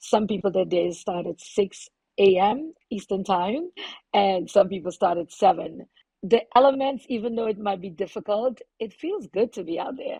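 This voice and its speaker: A woman with a Trinidadian accent speaks at a moderate pace and medium pitch, with ordinary pitch variation and big swings in loudness. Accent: Trinidadian accent, unchanged. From Trinidad and Tobago. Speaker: plumber and activist. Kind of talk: podcast interview.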